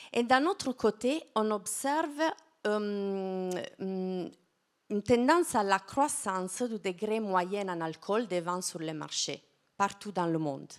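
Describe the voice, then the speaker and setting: A woman with an Italian accent speaks very slowly, her medium-pitched voice rising and falling in a lively way. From southern Italy, Apulia. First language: Italian (speaking French). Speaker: wine science researcher. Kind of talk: lecture. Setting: stage with audience. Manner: halting, many hesitations.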